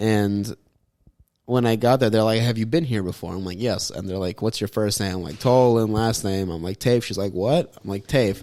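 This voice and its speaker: A man mumbles with a fairly low pitch and a dark, mellow tone. His pitch varies in an ordinary way, and the recording is very clean with a silent background. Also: moderate pace. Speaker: comedy podcast co-host. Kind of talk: casual chat. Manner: mumbling.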